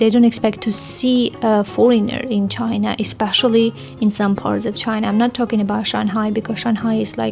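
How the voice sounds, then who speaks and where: A woman with an Armenian accent at a fairly high pitch, moderate pace and ordinary pitch variation, with noticeable background noise. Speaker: vlogger, language learner. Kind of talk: casual vlog review. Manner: hesitant, many fillers.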